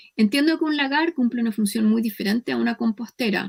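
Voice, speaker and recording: Somewhat breathy, a woman with a Chilean accent is captured in a dry, close sound with no echo. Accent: Chilean, drops s sounds. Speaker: professor. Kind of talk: lecture.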